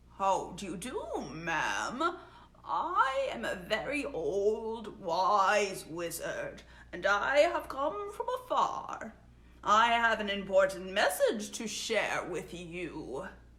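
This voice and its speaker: Putting on a character voice, a woman speaks at a fairly high pitch and a very slow pace. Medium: read story. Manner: solemn, mysterious.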